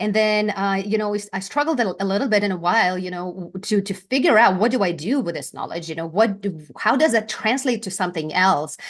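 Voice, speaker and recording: A woman with a Lithuanian accent talks at a very fast pace with hardly any pauses, at a medium pitch with ordinary pitch variation. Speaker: brand presence strategist, former news anchor. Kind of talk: interview.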